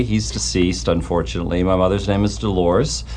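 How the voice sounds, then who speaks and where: The voice belongs to a man. Noticeable background noise can be heard behind him. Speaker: wealth manager guest. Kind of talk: casual radio interview.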